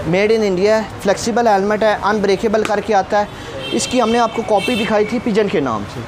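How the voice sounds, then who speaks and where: Over crowd noise in the background, a woman speaks at a fairly slow pace. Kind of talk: product demo talk. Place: shop. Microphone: lapel.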